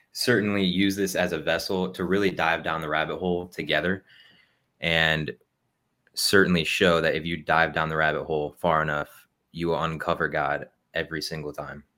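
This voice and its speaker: In a very clean recording with a silent background, a man with an American accent speaks at a moderate pace in a very deep, low voice, his tone bright and sharp and his intonation monotone and flat. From Ohio. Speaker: podcast host, soldier. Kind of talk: casual chat.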